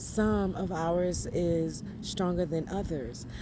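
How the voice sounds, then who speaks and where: A woman's fairly low voice, dark and mellow in tone, with vocal fry. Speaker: spiritual vlogger. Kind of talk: inspirational monologue.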